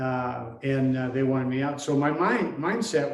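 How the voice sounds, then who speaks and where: There is audible room echo as a man with an American accent talks at a moderate pace, his pitch fairly high and ordinarily varied. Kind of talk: interview. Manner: halting.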